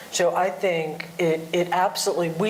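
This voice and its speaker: A woman speaks at a fairly slow pace with a fairly low pitch. Audible room echo and noticeable background noise are present. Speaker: industry panelist. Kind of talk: panel discussion. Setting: conference panel.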